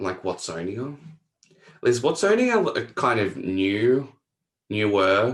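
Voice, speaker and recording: With long, frequent pauses, a man speaks at a very slow pace. His intonation is lively. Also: medium pitch for a man. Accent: Australian. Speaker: podcast host. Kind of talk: casual interview.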